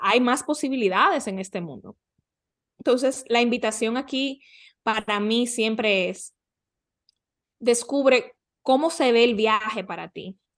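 A woman with a fairly high pitch speaks at a fairly slow pace, with ordinary pitch variation. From Dominican Republic. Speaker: life coach. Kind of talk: interview conversation.

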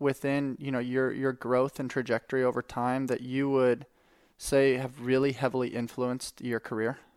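A man with an unremarkable speaking voice talks at a medium pitch and moderate pace. The recording is very clean with a silent background and a dry, close sound with no echo. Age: 30s. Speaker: podcast host. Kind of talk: casual chat.

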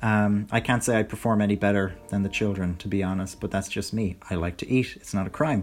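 A man speaks with an Irish accent. His intonation is fairly even. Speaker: podcast host. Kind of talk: casual solo commentary. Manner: relaxed, many fillers.

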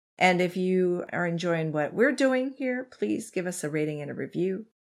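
A woman speaks with a fairly low pitch. Her voice makes very wide pitch swings. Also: very clean recording, silent background. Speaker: true crime podcast host. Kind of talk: casual chat and true crime storytelling.

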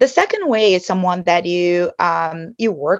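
Against a quiet background, a woman with a fairly low pitch speaks fairly slowly, her intonation varying in an ordinary way. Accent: Brazilian. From Brazil. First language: Portuguese. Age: 50s. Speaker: advertising executive. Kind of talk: interview. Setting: video call. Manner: animated; bubbly.

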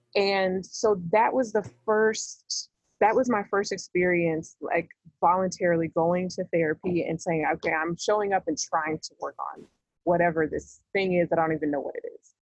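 The sound is dry and close with no echo, carrying a normal speaking voice with an American accent. The pace is moderate, pitch variation is ordinary, and loudness swings widely. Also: woman, fairly low pitch for a woman. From US South, Georgia. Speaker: peacemaking educator and founder. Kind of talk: casual interview.

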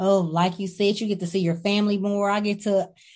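Over a quiet background, a woman with a medium pitch talks at a fairly quick pace in an unremarkable speaking voice. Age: 30s. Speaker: trucking company owner. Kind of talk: interview.

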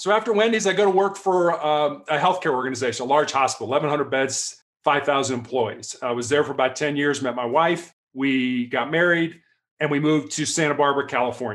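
With a plain, everyday voice, a man speaks at a fairly quick pace and fairly high pitch with ordinary pitch variation against a quiet background. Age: 60s. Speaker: author and former athlete. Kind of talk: casual interview.

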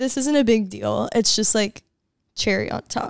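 With lively intonation and a moderate pace, a woman talks in an unremarkable speaking voice on a very clean recording with a silent background. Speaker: guest, friend of host. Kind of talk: casual chat.

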